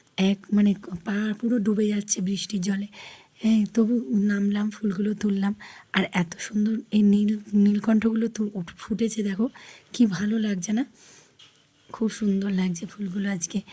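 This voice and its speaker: A woman at medium pitch speaks in a somewhat breathy, dark, mellow tone with monotone, flat intonation. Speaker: vlogger. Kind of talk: casual vlog talk. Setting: outdoors in rain.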